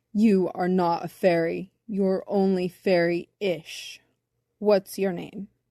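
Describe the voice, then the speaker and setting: A booming, rumbling, female-sounding cartoonish character voice at a medium pitch for a woman, at a fairly slow pace. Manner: slow, deliberate.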